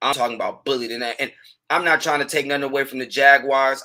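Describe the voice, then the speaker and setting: A man talks loudly at a very fast pace. His fairly high voice has a bright, sharp tone. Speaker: sports podcast host. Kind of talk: casual sports commentary. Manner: animated.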